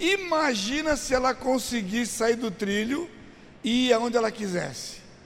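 Noticeable background noise sits behind a voice with an animated tone. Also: man. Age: 60s. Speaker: pastor. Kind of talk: teaching seminar. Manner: conversational, animated.

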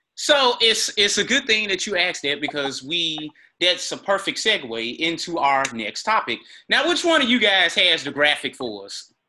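This man has a high, bright, sharp voice with very wide pitch swings and a Mississippi accent. He talks at a moderate pace. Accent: US South (Mississippi). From Greenville, Mississippi. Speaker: sports podcast host. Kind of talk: casual chat.

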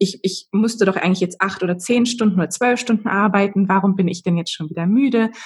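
A woman's somewhat breathy, very fast speech with hardly any pauses. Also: medium pitch for a woman, ordinary pitch variation. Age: 30s. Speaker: human design coach. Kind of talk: interview.

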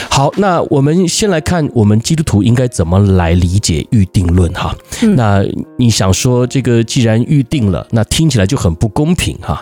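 Music in the background behind a man at a medium pitch, with very wide pitch swings, very even loudness and a moderate pace. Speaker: pastor. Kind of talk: casual chat.

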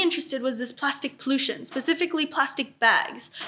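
A woman speaks at a fairly quick pace in a high-pitched, raised and projected voice. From Bali, Indonesia (Dutch mother, Indonesian father). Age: 20s. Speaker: youth environmental activist. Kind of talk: podcast interview.

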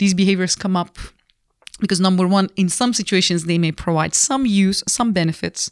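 A woman with a non-native accent and a fairly low pitch speaks with ordinary pitch variation in a very clean, dry, close recording with a silent background and no echo. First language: not English. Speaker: business school professor and comedian. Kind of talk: casual interview.

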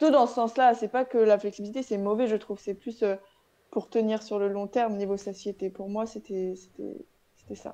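A woman talks at a moderate pace with a fairly high pitch and fairly even intonation, her tone dark and mellow. Her loudness swings a lot, long pauses come often, and the background is quiet. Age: 20s. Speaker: fitness coach and bikini athlete. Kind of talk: casual chat.

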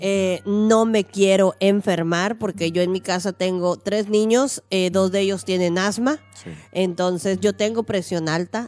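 Music plays in the background as a woman speaks at a fairly slow pace. Her pitch is medium and varies in an ordinary way. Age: 40s. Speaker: podcast co-host. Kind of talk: casual chat. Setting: live stream.

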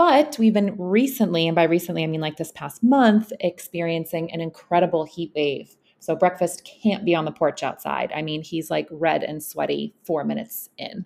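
Woman's fairly low-pitched voice with vocal fry, ordinary pitch variation, moderate pace and hardly any pauses. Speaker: podcast host. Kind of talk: casual interview.

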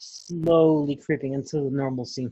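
A man's fairly high voice with a dark, mellow tone and an American accent, in a dry, close sound with no echo. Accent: Chicago, Mexican heritage. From Chicago. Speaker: wrestling podcast co-host. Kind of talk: casual chat.

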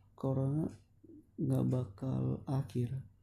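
A man's very slow speech. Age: young. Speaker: solo podcaster. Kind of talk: casual monologue.

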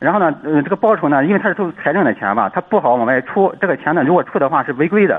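Pitched high, a man talks at a very fast pace. His intonation is lively. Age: 30s. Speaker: caller, schoolteacher. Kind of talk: call-in advice. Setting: phone call.

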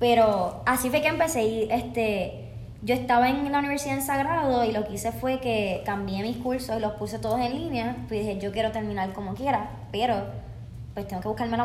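A woman with a Puerto Rican accent speaks at a fairly quick pace. Audible room echo and noticeable background noise fill the recording. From Puerto Rico (Bayamón). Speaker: dancer and dance teacher. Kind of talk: casual interview.

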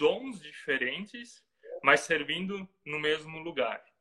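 The speaker is a man with a high pitch. His tone is bright and sharp. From Brazil, Santa Catarina. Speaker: pastor and missionary. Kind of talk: casual interview.

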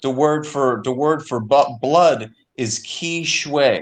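A man with a fairly high-pitched voice speaks with ordinary pitch variation. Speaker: panelist. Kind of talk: panel discussion.

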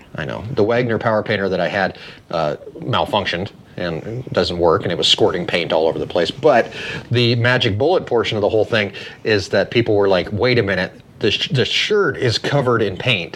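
With an American accent, a man speaks at a fairly low pitch and a fairly quick pace with lively intonation, over noticeable background noise. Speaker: podcast host. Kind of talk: casual chat.

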